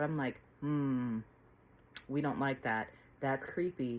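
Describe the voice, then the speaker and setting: On a very clean recording with a silent background, a woman with a very deep, low pitch speaks in an animated tone at a fairly slow pace. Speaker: book reviewer. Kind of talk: casual book review vlog. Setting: at home.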